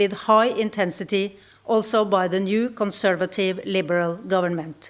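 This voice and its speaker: A woman's medium-pitched voice with a Norwegian accent and fairly even intonation. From Norway. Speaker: ambassador. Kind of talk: conference speech. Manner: formal.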